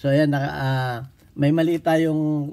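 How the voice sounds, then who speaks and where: His delivery is fairly slow. This man's tone is dark and mellow. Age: 60s. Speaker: firearms instructor. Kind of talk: tutorial. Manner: halting.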